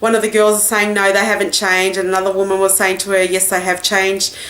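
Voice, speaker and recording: A woman talks with an Australian accent. Noticeable background noise can be heard. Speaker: beauty vlogger. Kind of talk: product haul review. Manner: casual, chatty.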